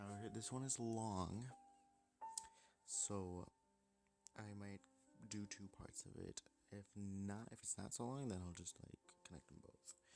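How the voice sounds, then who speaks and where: With music in the background, a man with a fairly low pitch talks at a fairly slow pace, his intonation fairly even and broken by long, frequent pauses. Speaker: gaming video creator. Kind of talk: casual gameplay commentary.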